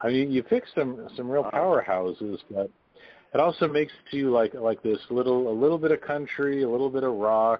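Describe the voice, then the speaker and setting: Lively intonation and a fairly quick pace in an ordinary speaking voice. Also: man, medium pitch for a man. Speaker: radio host. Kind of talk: interview. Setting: phone call.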